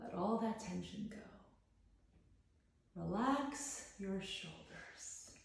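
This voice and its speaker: Over noticeable background noise, a woman with a fairly high pitch and ordinary pitch variation talks at a very slow pace in a calm, soothing tone, leaving long, frequent pauses. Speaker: psychologist and guided meditation host. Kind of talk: guided meditation. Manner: calm, slow, soothing.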